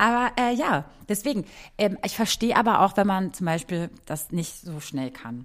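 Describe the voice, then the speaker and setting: A woman speaks at a moderate pace in a medium pitch. Her pitch swings very widely, and her loudness rises and falls in big swings. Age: 30s. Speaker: podcast host. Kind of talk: casual chat. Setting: video call.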